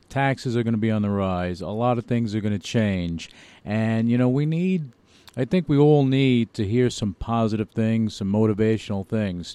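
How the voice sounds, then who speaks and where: A man speaks in a plain, everyday voice, medium in pitch, at a moderate pace and with ordinary pitch variation. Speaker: radio host. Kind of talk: radio interview, host patter. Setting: radio show. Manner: chatty, upbeat, slightly rambling.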